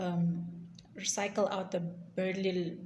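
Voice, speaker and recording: A somewhat breathy woman with an African accent, fairly low pitch and monotone, flat intonation, with audible room echo. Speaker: YouTuber. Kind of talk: storytime vlog. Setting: recording at work. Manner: halting.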